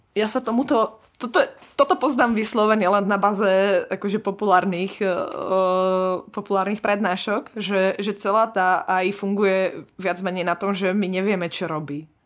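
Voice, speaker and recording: A woman talks at a moderate pace in an ordinary speaking voice, her pitch medium and her intonation fairly even. The background is quiet. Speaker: PhD student in biotechnology. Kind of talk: casual chat.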